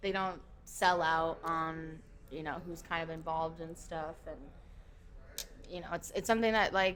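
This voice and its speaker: Speaking at a moderate pace with an American accent, a woman uses a fairly low pitch and fairly even intonation, leaving long, frequent pauses. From Minnesota, rural small town. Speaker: festival security worker and concierge. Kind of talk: casual chat. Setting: members' lounge.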